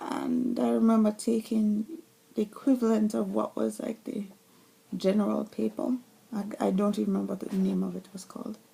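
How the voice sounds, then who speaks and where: A woman's speech moves at a moderate tempo, with clear background noise behind it. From Jamaica (Mandeville). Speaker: vlogger. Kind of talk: personal vlog monologue. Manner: animated.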